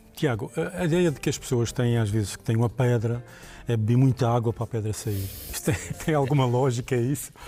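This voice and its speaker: Over music in the background, a man at medium pitch speaks at a fairly quick pace with ordinary pitch variation. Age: 60s. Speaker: TV health show host. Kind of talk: casual chat.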